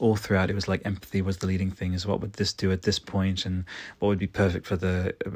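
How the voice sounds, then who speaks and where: A man with a very deep, low pitch and a somewhat breathy voice speaks very fast, in a very clean recording with a silent background. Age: 30s. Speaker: solo podcast host reviewing video games. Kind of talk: solo monologue game review. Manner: animated, frequent fillers and restarts.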